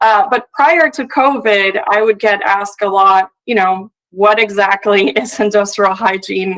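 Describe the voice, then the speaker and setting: A fairly slow pace with hardly any pauses, in a Puerto Rican accent. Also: woman, medium pitch for a woman, ordinary pitch variation. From Puerto Rico. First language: Spanish. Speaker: industrial hygienist. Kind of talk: conference presentation. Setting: remote video link to live event. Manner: frequent filler hesitations.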